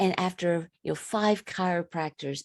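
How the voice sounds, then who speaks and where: A woman with an American accent has an ordinary speaking voice, fairly low in pitch. She talks at a moderate pace with ordinary pitch variation. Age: 50s. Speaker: women's wellness coach and personal trainer. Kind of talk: podcast interview.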